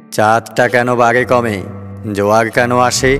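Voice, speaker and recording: Music plays in the background as a man speaks. His medium-pitched voice has monotone, flat intonation. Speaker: poetry reciter. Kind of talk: poetry reading. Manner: clear, expressive.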